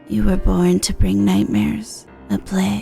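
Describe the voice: A put-on character voice speaks in a low pitch at a moderate pace. Clear music plays in the background.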